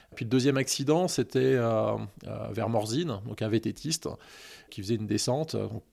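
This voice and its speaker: There are long, frequent pauses as a man talks with vocal fry. His pitch is medium, with ordinary variation. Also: moderate pace. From Annecy, Haute-Savoie, France. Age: 40s. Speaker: hiker and anti-hunting association president. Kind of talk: interview. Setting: outdoors, forest walk.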